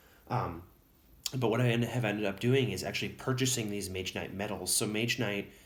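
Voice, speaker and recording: A man with an American accent talks at a fairly quick pace and fairly low pitch. His intonation is fairly even, and room echo is audible. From Wisconsin, US Upper Midwest. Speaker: tabletop miniatures hobbyist YouTuber. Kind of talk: casual show-and-tell video. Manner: hesitant, many fillers.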